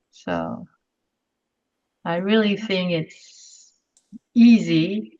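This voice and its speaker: A woman speaks with a French accent. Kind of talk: webinar presentation Q&A. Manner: halting.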